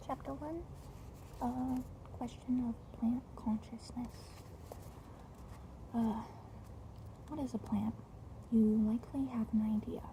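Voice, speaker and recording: Long, frequent pauses break up speech that goes very slowly. Clear background noise sits underneath. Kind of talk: book reading. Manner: stuttering, slurred, slow.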